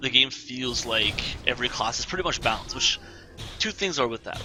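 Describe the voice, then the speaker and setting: With lively intonation and a fairly quick pace, a man talks while music plays in the background. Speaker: gameplay commentator. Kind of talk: live gameplay commentary. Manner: casual, halting.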